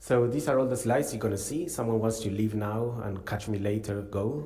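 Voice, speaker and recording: Somewhat breathy and dark and mellow in tone, a man's fairly low voice moves at a fairly slow pace with ordinary pitch variation, and audible room echo surrounds it. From Argentina. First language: Spanish (speaking French). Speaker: neuroscience professor. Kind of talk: conference talk. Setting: conference hall, hybrid session.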